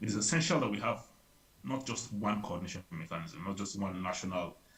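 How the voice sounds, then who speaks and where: A man speaks at a fairly quick pace in a somewhat breathy voice. His pitch is fairly low. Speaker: public health advisor. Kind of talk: workshop presentation. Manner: fast; hesitant with many fillers.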